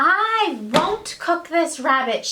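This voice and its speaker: A woman puts on a character voice at an extremely high pitch. She raises and projects her voice over clear background noise. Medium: read story. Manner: anxious, shrill.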